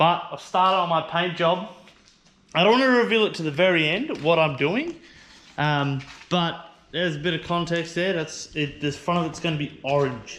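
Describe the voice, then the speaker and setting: A man with an Australian accent, a high pitch, ordinary pitch variation and a moderate pace. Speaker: car vlogger. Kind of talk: casual vlog. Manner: casual, rambling.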